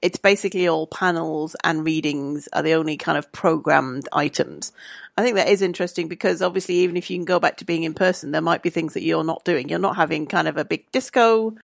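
In a very clean recording with a silent background and a dry, close sound with no echo, a woman with vocal fry talks at a very fast pace in a fairly low pitch, using ordinary pitch variation and hardly any pauses. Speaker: podcast host. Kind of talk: casual chat.

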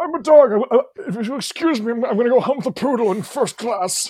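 A put-on character voice runs at a moderate pace with a fairly high pitch. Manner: silly, comic.

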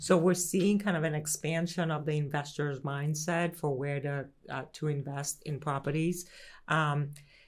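On a very clean recording with a silent background, a woman with an American accent speaks fairly slowly at a very deep, low pitch, her intonation fairly even. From Greece (Athens), raised there age 1 to 11, then US. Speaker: real estate regional executive. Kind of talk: casual chat.

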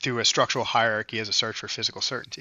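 This is a man. He speaks with an American accent. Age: 30s. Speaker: jiu-jitsu coach and school owner. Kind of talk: casual conversation.

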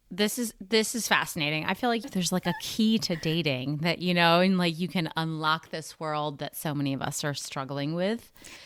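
On a very clean recording with total background silence, an unremarkable speaking voice goes at a moderate speed and shows ordinary pitch variation. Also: woman, fairly low pitch for a woman, hardly any pauses. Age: 40s. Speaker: podcast host. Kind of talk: casual chat.

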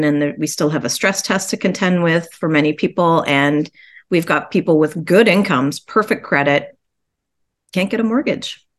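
With a quiet background, a woman with a normal speaking voice talks in a Canadian accent at a moderate pace and a fairly low pitch, with ordinary pitch variation. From Ontario, Canada (Guelph). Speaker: realtor. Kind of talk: interview. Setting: video call.

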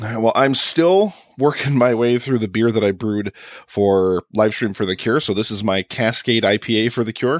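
In a very clean recording with a silent background, a man with an unremarkable speaking voice talks at a moderate pace, medium pitch, and ordinary pitch variation. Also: dry, close sound with no echo. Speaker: film podcaster. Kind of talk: casual chat.

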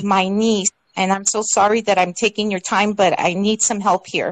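A woman talks at a moderate pace with a fairly high pitch. It is an unremarkable speaking voice, recorded with a dry, close sound and no echo. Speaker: caller. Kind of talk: call-in testimony. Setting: online call.

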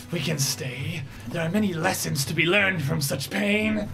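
A put-on character voice moves at a moderate pace, with hissing on the recording. Loud music plays in the background. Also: man, fairly high pitch for a man. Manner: menacing.

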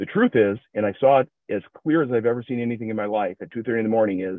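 Talking at a fairly quick pace, a man with an American accent has a medium pitch. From Minnesota, US Midwest. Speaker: recovery group member sharing his story. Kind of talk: personal testimony.

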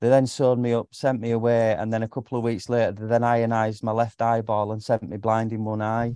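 Over a quiet background, a man talks very fast at medium pitch, his dark, mellow tone held in monotone, flat intonation. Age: 40s. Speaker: caller. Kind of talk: live Q&A. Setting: video call.

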